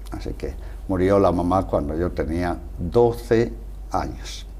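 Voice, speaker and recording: Fairly slow speech in a Castilian accent, with audible room echo. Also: man. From Spain, Salamanca. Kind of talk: interview.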